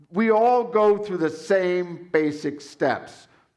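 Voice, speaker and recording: A man talks with ordinary pitch variation, his voice carrying audible room echo. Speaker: conference session moderator. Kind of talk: conference panel presentation.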